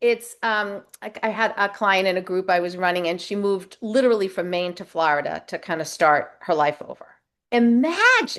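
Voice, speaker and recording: A normal speaking voice: a woman at medium pitch and moderate pace, with ordinary pitch variation. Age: 60s. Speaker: life coach. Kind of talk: interview.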